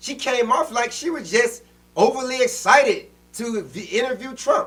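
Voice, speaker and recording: Extremely high-pitched, a man speaks with a passionate tone and lively intonation. He keeps a moderate pace. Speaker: podcast co-host. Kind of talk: casual political discussion. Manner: loud, passionate.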